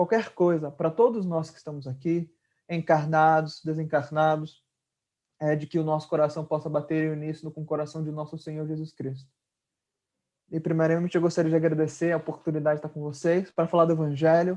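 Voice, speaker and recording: A man with a northern Brazilian accent, fairly high in pitch with a dark, mellow tone, fairly quick and flat in a monotone, his loudness swinging widely over a quiet background. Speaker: spiritist lecturer. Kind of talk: religious lecture. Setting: video call.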